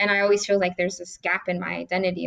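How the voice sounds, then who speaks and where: A woman speaks with monotone, flat intonation. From southwest Detroit, US Midwest. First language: Spanish is her second language, English first. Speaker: city council member. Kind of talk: interview.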